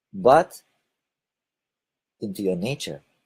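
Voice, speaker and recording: A man with a Lithuanian accent and a fairly low pitch, his voice making very wide pitch swings. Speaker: spiritual video blogger. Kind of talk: casual monologue broadcast. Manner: hesitant, with fillers.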